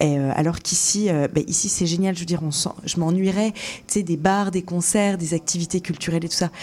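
A woman speaks fairly quickly with a fairly low voice. Her intonation is fairly even, and there is noticeable background noise. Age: 20s. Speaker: radio show producer. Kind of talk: casual interview.

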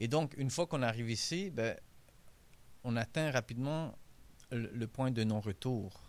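A man at medium pitch with a Hungarian accent, fairly slow and broken by long, frequent pauses, on a very clean recording with a silent background. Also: ordinary pitch variation. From Hungary, raised in Montreal from age 11. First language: Hungarian (speaking French). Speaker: author. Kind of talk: interview. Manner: halting, many repetitions.

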